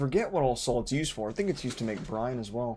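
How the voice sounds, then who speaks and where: A man with lively intonation over music in the background. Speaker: gaming streamer. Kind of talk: casual live-stream commentary. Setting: live stream. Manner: mumbling when relaxed.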